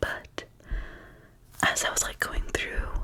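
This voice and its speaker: Whispered speech from a woman over noticeable background noise. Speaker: ASMR creator. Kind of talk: ASMR casual chat to camera.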